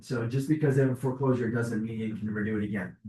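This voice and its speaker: Speaking at a very fast pace, a man with an American accent sounds somewhat breathy, keeping his intonation fairly even. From Chicago, US Midwest. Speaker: mortgage lender. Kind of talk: presentation to realtors.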